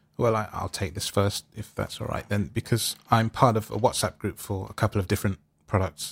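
In a London accent, a man with a fairly low pitch talks at a fairly quick pace, somewhat breathy and monotone, with a dry, close sound and no echo. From London, England. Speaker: music technology teacher. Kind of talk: panel discussion. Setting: video call.

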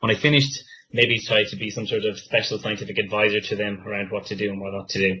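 A man talks very fast at a fairly low pitch. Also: fairly even intonation. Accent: Irish. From west of Ireland. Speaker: business strategy manager, former scientist. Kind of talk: career talk with audience Q&A.

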